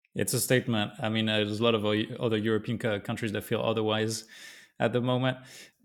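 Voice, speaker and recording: With a French accent, a man speaks at a fairly quick pace in a medium pitch. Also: very clean recording, silent background. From southern France. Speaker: podcast host. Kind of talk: interview.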